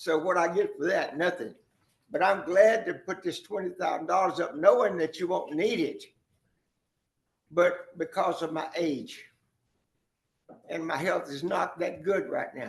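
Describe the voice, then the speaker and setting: The speaker has an American accent and moves at a fairly slow pace. Long, frequent pauses break up speech with ordinary pitch variation. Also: man, high pitch for a man. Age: 80s+. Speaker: developer addressing county court. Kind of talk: public meeting statement. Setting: county commissioners court meeting.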